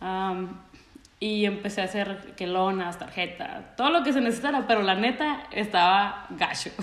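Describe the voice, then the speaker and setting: A woman with a Mexican accent and medium pitch speaks at a moderate pace with lively intonation. Noticeable background noise and audible room echo fill the recording. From Mexico. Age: 30s. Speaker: church creative director. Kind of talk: casual interview chat. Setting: remote call.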